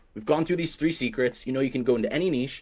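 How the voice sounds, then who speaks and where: A man's voice sits at a medium pitch. He talks at a very fast pace. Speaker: AI agency coach. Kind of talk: live webinar presentation. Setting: Zoom webinar.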